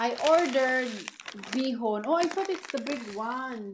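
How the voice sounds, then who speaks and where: Noticeable background noise accompanies talking at a fairly slow pace. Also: woman. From Philippines. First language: Filipino. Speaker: vlogger. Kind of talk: product haul vlog. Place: home room. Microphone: phone near.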